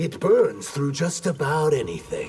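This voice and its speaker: At a moderate pace, a man does a put-on character voice pitched fairly high. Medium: video game. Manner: terse, guarded.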